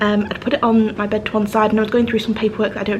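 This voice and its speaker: Amid noticeable background noise and audible room echo, a woman with a British accent speaks at medium pitch in a monotone, flat intonation. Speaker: travel vlogger. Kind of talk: casual vlog talk. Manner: hesitant, many ums.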